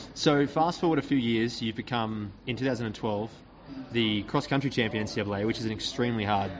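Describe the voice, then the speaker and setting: Noticeable background noise surrounds a man speaking at a moderate pace and medium pitch. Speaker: podcast host. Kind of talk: interview; scripted narration. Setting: restaurant, recorded live.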